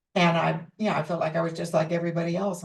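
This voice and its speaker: Speaking at a moderate pace, a woman uses a very deep, low voice with vocal fry. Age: 80s+. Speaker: teacher of a psychological approach. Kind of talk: personal reflective message. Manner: hesitant with fillers.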